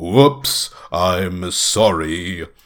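A man performs a booming character voice. His pitch is very deep and low.

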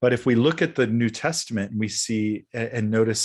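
A man with an American accent and a normal speaking voice talks at a moderate pace, his medium pitch held in fairly even intonation over a quiet background. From US Midwest. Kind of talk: interview conversation.

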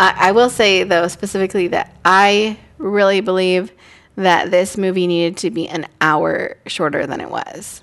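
A woman's normal speaking voice at medium pitch, with moderate pace and ordinary pitch variation. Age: 30s. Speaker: podcast co-host. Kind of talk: casual chat.

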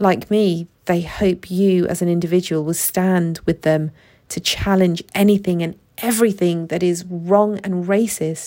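Her pitch fairly low and her tone dark and mellow, a woman with a British accent speaks at a fairly slow pace in a monotone, flat intonation. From UK, Pakistani heritage. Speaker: podcast host, case management psychologist. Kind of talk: solo podcast monologue.

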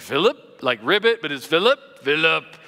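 In a croaky, put-on character voice, a man talks at a moderate pace with a fairly high pitch.

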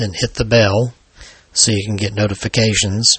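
Speaking at a moderate pace, a man with an American accent uses a fairly low pitch and monotone, flat intonation. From Alabama, US South. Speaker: paranormal author and podcast host. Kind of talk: scripted true-crime horror narration, read aloud as a ghost story.

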